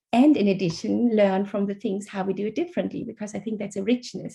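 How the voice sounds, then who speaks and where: Speaking very fast with a German accent, a woman has a medium pitch with ordinary pitch variation. Her tone is dark, mellow and somewhat breathy. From Germany. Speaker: author. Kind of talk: interview. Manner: halting.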